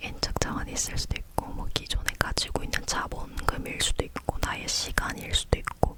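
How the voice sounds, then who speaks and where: A woman whispers at a moderate pace, with noticeable background noise in the recording. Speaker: ASMR creator. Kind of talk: whispering ASMR chat about books and bookshelf. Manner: whispered, soft, chatty.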